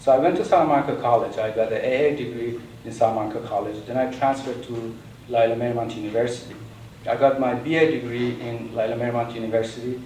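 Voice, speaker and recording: Amid noticeable background noise and audible room echo, a man at medium pitch speaks at a very fast pace with fairly even intonation. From Iran. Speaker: businessman and guest speaker. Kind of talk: talk to an audience. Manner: halting.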